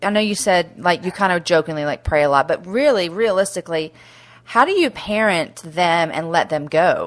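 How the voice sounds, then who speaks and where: This woman has a strong Texas accent, medium pitch and lively intonation at a moderate pace. Her recording is very clean with a silent background. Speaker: podcast host. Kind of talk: casual interview.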